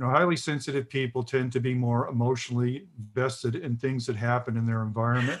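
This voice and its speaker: On a very clean recording with a silent background, a man with an American accent speaks very fast at a medium pitch with fairly even intonation. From US South. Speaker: author. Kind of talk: interview.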